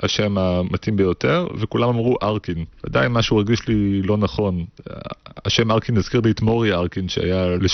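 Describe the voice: Someone is doing plain reading aloud. The text is simply read out.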